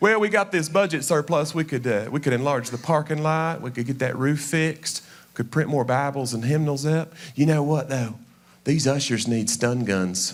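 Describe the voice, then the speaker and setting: A man speaks at a moderate pace and a fairly high pitch, with ordinary pitch variation, on a very clean recording with a silent background. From Tennessee, Knoxville. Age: 40s. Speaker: comedian. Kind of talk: stand-up. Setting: stage with audience. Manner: animated.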